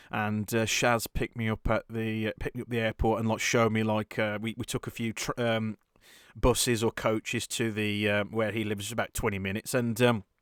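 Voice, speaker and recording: A man speaks with a Birmingham accent in a monotone, flat delivery. The very clean recording has a silent background and a dry, close sound with no echo. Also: medium pitch for a man, fairly quick pace. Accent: Birmingham-area. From English West Midlands, near Birmingham. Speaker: podcast host. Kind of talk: casual chat. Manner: halting, many repeated words.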